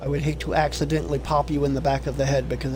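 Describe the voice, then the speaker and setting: A man talks at a very fast pace over noticeable background noise, with audible room echo. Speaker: gaming streamer. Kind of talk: let's play commentary.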